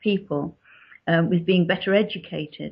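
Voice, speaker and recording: In a southern English accent, a woman speaks at a moderate pace with a fairly low, somewhat breathy voice. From born in Yorkshire, grew up in southern England. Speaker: author. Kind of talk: interview.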